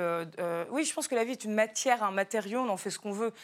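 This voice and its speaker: On a very clean recording with a silent background, a woman with a normal speaking voice talks at a medium pitch and a fairly quick pace. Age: 30s. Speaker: novelist. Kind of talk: TV talk show interview.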